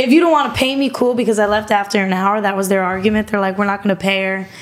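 A woman talks with an American accent. Her pitch is fairly high and her intonation fairly even. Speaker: podcast guest. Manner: monotone.

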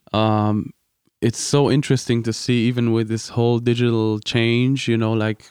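A man at a fairly low pitch and fairly slow pace with monotone, flat intonation, in a dry, close sound with no echo and a quiet background. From Austria. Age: 20s. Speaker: seminary student and sound engineer. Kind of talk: casual chat. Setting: studio.

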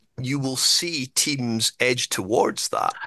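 A man speaks with a Scottish accent over a quiet background. The sound is dry and close, with no echo. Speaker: podcast co-host. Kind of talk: casual chat.

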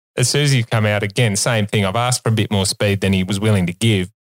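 A man with an Australian accent speaks in a fairly low pitch with fairly even intonation. The recording is very clean with a silent background, and the sound is dry and close with no echo. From Australia, Sydney. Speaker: vet and co-host. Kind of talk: casual chat. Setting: studio.

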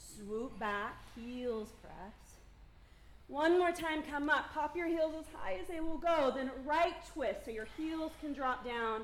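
A woman with a calm tone and a high pitch, at a very slow pace with lively intonation. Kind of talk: yoga class instruction. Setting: live yoga studio class. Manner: calm, encouraging, clear cueing with brisk directions and light laughter.

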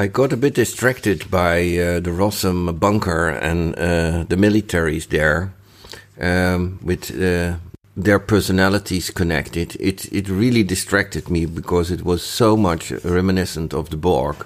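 With a Dutch accent, a man speaks fairly slowly in a very deep, low pitch. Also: ordinary pitch variation. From Netherlands. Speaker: listener contributor. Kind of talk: recorded listener feedback. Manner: halting.

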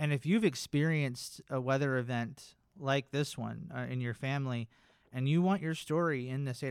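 This is a man with an unremarkable speaking voice, medium in pitch and fairly even in intonation. He keeps a moderate pace on a very clean recording with a silent background. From North Carolina. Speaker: government records archivist. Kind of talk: scripted narration; casual chat.

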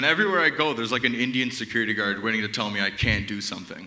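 Noticeable background noise sits under speech delivered at a very fast pace with very wide pitch swings. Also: man. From Canada. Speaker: comedian. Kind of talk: stand-up. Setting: stage with audience. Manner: casual, filler-heavy.

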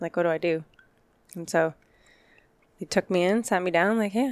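The speech moves at a fairly quick pace. The sound is dry and close, with no echo. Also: woman. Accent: American. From Arizona, Glendale. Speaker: fire captain. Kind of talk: casual chat.

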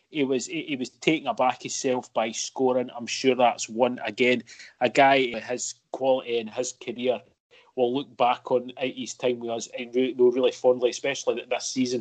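A man in a Scottish accent at medium pitch, with monotone, flat intonation and a moderate pace. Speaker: football podcast co-host. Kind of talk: casual chat.

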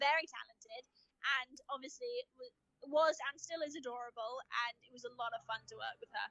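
A woman projects a raised, high voice with a bright, sharp tone and ordinary pitch variation. She talks fairly quickly, and the sound is dry and close, with no echo. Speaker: actress and co-host. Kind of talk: casual interview. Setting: at an industry party. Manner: loud.

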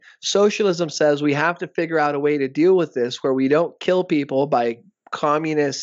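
A man with an American accent speaks in an ordinary speaking voice, his pitch fairly high, with ordinary pitch variation at a moderate pace. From South Texas border (Rio Grande Valley). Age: 30s. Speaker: academic guest discussing socialism. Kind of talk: casual interview discussion.

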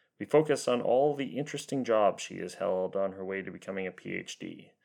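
A man's ordinary speaking voice at medium pitch and moderate pace, with ordinary pitch variation over a quiet background. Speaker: podcast host. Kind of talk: casual interview.

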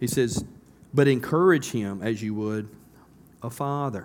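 There is audible room echo as a man speaks with a Southern US accent. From US South. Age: 50s. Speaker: pastor. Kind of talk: sermon. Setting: church. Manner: conversational, halting with fillers.

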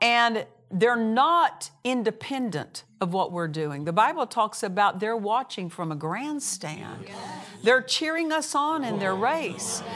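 Against noticeable background noise, a woman speaks at a very slow pace. Her fairly high voice swings very widely in pitch. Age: 60s. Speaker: minister and Bible teacher. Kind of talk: sermon. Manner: animated.

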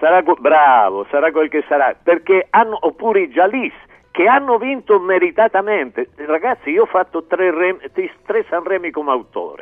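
High-pitched for a man, this voice has an animated tone and lively intonation. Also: moderate pace. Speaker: singer-songwriter. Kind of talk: radio interview. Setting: phone or remote link.

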